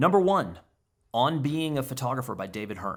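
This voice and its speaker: A man's animated voice at medium pitch, with very wide pitch swings and vocal fry. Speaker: photographer answering viewer questions. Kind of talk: casual vlog Q&A monologue.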